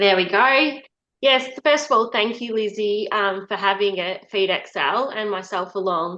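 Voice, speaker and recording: Speaking at a fairly slow pace in an Australian accent, a woman has a medium pitch, ordinary pitch variation and a bright, sharp tone. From Western Victoria, Australia. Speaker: equine nutritionist. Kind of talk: webinar presentation. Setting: online webinar. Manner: halting, many fillers.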